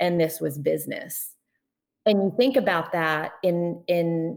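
In a plain, everyday voice, a woman speaks fairly slowly at a fairly low pitch on a very clean recording with a silent background. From US, born in Poland. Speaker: journalist and diver. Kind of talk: interview.

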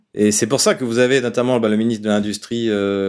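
A man with an ordinary speaking voice and a medium pitch talks at a fairly quick pace in a very clean recording with a silent background. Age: 50s. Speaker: political analyst. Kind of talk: interview. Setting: studio.

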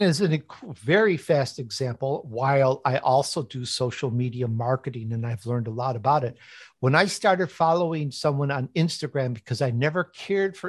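With an American accent, a man speaks at a moderate pace, his fairly high pitch showing ordinary variation. His voice is somewhat breathy, and the background is quiet. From Chicago, US Midwest. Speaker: author and podcast host. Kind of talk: interview.

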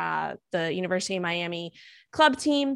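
Here a woman with an American accent talks at a moderate pace and a medium pitch. The recording is very clean, with a silent background. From New York City. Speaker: nutritionist and strength coach. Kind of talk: interview. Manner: rambling.

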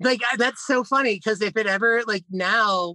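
A man with an American accent speaks in a raised, projected voice, his tone bright and sharp and his pitch varying in an ordinary way. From Philadelphia area, Pennsylvania. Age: 30s. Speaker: author and witch. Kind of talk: casual interview chat.

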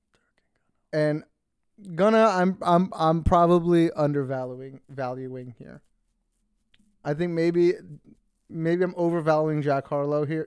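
A man with a fairly high voice speaks fairly slowly in an animated tone, with ordinary pitch variation and long, frequent pauses. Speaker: podcast co-host. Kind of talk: casual banter, hip hop talk. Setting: studio with mics. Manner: joking, crude, animated.

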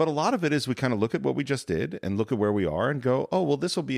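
Vocal fry and very wide pitch swings mark a man's speech at a very fast pace. The recording is very clean with a silent background. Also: dry, close sound with no echo. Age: 40s. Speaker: podcast co-host and filmmaker. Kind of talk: casual chat.

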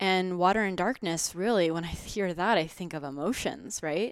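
In a very clean recording with a silent background, a woman speaks with a fairly low pitch. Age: 20s. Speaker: wellness podcast host. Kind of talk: casual monologue.

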